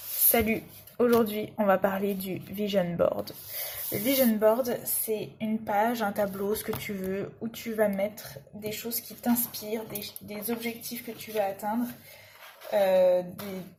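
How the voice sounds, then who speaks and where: Speaking very slowly, a woman with a fairly high pitch keeps her intonation fairly even. Her loudness swings a lot, and there is noticeable background noise. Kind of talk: casual talk to camera while crafting. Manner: chatty.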